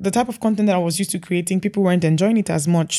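A woman speaks with a Nigerian accent at a medium pitch, with ordinary pitch variation. The recording is very clean, with a silent background. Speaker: YouTuber and beauty blogger. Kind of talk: personal storytelling.

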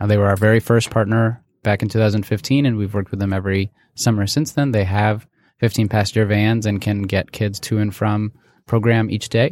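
Delivered at a fairly quick pace with fairly even intonation, an unremarkable speaking voice comes through on a very clean recording with a silent background. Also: man, fairly low pitch for a man. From US Northeast, suburban New York (Westchester County). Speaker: nonprofit founder. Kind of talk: interview. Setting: studio.

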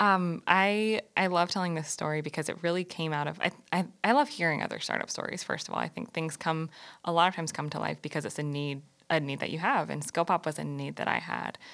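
Fairly quick speech from a woman with an American accent, fairly low pitch and fairly even intonation, on a very clean recording with a silent background. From North Carolina, Greensboro. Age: 30s. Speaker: startup founder and CEO. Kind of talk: interview.

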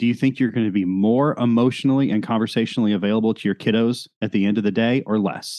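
A man talks at a very fast pace. His pitch is fairly low, with ordinary variation. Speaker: pastor. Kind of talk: casual interview. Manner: loud, fast-paced.

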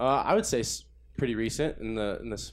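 Fairly quick American-accented speech with very wide pitch swings, vocal fry and audible room echo. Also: man. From US Midwest, Illinois. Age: 30s. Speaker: CrossFit athlete. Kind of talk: casual chat. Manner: halting.

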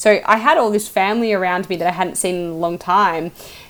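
At a moderate pace, a woman with an Australian accent speaks at a medium pitch with ordinary pitch variation. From rural Australia. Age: 30s. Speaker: ultramarathon runner. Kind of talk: interview.

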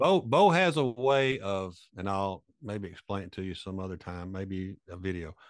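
In an unremarkable speaking voice, a man talks at a moderate pace with fairly low pitch, ordinary pitch variation, big swings in loudness and hardly any pauses against a quiet background. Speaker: co-host, craps coach. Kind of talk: casual chat. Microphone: good-sounding mic.

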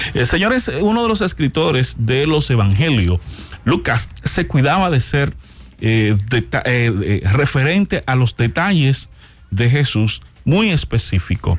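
A somewhat breathy male voice at medium pitch, very slow in pace, with very wide pitch swings and very even loudness. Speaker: pastor and radio co-host. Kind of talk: sermon.

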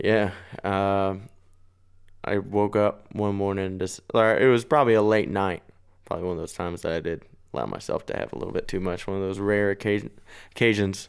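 A man speaks in a fairly low voice with a fairly even intonation and an American accent, leaving long, frequent pauses, on a very clean recording with a silent background. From Texas, Bedford (DFW area). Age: 20s. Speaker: singer-songwriter. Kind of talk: casual chat. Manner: loud and expressive.

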